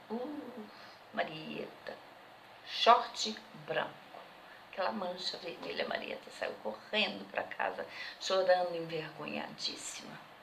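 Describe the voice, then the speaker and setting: Whispering very slowly with long, frequent pauses, a woman is heard amid noticeable background noise and audible room echo. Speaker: interviewee. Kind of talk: testimony.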